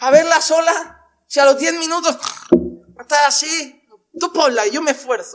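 Speaking at an extremely high pitch, a man talks at a fairly slow pace with ordinary pitch variation and long, frequent pauses. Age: 30s. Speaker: pastor. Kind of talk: sermon.

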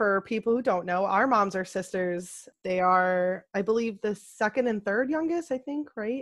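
There is a woman with a normal speaking voice, a medium pitch and lively intonation. She keeps a moderate pace with hardly any pauses against a quiet background. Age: 20s. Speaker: podcast co-host. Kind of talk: casual chat.

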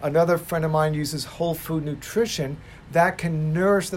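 A man with an ordinary speaking voice talks at a fairly quick pace and a fairly high pitch. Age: 60s. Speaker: chiropractor. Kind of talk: casual chat.

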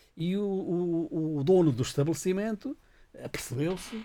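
A man is speaking. His pitch swings very widely. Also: very clean recording, silent background. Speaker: radio show guest. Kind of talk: casual chat. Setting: radio studio.

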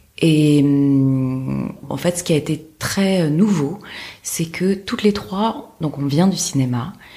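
Her very deep, low pitch and dark, mellow tone mark this woman's voice, which has ordinary pitch variation. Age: 30s. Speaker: film producer. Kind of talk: interview conversation. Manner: halting, many hesitations.

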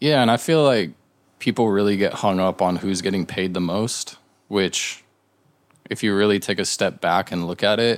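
An ordinary speaking voice from a man with an American accent, fairly low in pitch, at a moderate pace. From Southern California. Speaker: graphic designer. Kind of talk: casual chat.

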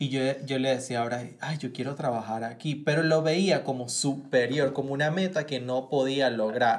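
A man talks at medium pitch and a moderate pace with fairly even intonation. He hardly pauses at all. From Venezuela. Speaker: actor and producer. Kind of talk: casual chat.

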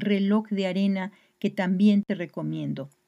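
The woman has an ordinary speaking voice at a medium pitch. Her pace is fairly slow, with ordinary pitch variation. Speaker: podcast host. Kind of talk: scripted narration introducing a poet and closing the episode. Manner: formal, measured, informative.

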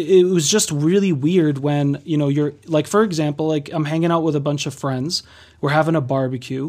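This man has an unremarkable speaking voice, fairly high in pitch, with fairly even intonation at a moderate pace. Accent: American. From Massachusetts, US. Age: 30s. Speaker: life coach and spiritual counselor. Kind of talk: casual interview.

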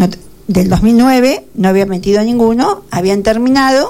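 There is noticeable background noise behind a woman talking at a medium pitch. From Argentina, Buenos Aires province (Carlos Casares). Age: 50s. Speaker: retired teacher and local politician. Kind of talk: radio interview.

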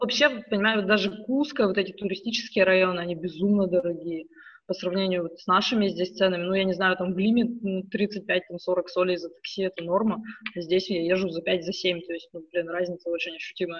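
At a fairly quick pace, a woman with a normal speaking voice talks in a medium pitch with fairly even intonation. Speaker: emigrant parent. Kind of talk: casual chat.

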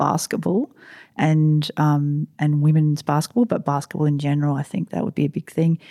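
Very deep and low-pitched, a woman speaks with an Australian accent and a dark, mellow tone. The sound is dry and close with no echo, on a very clean recording with a silent background. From South Australia (Riverland). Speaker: basketball club president. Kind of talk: interview. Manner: halting, many fillers and restarts.

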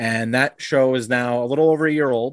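Recorded dry and close with no echo against a quiet background, a man in an American accent uses a normal speaking voice at medium pitch, with ordinary pitch variation and a moderate pace. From Long Island, New York. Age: 30s. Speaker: wrestling card podcaster. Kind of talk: casual chat. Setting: video call.

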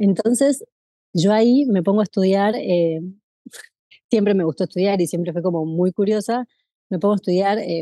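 A woman in a Rioplatense accent, medium pitch, dark and mellow tone, moderate pace, dry close sound with no echo. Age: 30s. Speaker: former actuary. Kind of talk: casual interview. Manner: animated; halting.

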